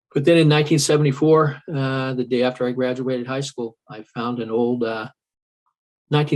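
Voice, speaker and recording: A man speaks in an unremarkable speaking voice with an American accent. His pace is moderate, his pitch medium, and his intonation fairly even. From California. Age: 60s. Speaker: skateboarder. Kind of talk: interview. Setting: podcast.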